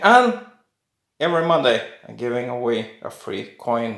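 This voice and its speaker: A man's very slow speech in a Norwegian accent, with lively intonation and audible room echo. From Norway. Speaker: coin collector YouTuber. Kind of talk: casual video talk. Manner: halting.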